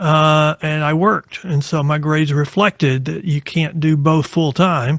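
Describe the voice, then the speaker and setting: In an American accent, a man speaks at a fairly slow pace with a fairly high pitch. The sound is dry and close, with no echo. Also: fairly even intonation. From Texas, small town north of Abilene. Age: 60s. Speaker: lawyer specializing in bail law. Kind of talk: podcast interview.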